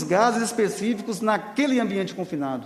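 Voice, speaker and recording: Spoken with a northern Minas Gerais accent, the clip has audible room echo and noticeable background noise. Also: man. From Brazil, northern Minas Gerais (Salinas). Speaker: union leader. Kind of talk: public hearing testimony.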